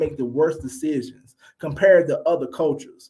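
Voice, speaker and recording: With an animated tone and lively intonation, a man talks at a fairly quick pace. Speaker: podcast host giving relationship commentary. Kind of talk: solo commentary rant. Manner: stuttering at times.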